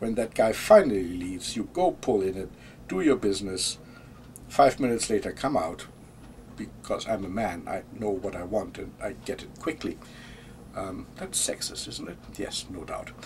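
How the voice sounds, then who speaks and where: With a German accent, a man speaks at a moderate pace, his loudness swinging widely. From Germany. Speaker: vlogger. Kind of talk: casual monologue. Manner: hesitant, with fillers and repeats.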